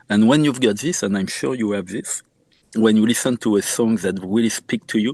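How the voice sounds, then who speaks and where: A man with a French accent speaks fairly quickly at a fairly low pitch with ordinary variation, the sound dry and close with no echo against a quiet background. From France, Normandy. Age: 50s. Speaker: musician and medical doctor. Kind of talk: interview. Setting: podcast interview.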